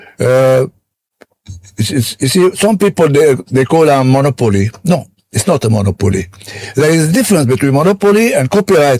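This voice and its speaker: Somewhat breathy, a man's voice moves through very wide pitch swings in a dry, close sound with no echo. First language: French. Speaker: businessman. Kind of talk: interview. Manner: animated.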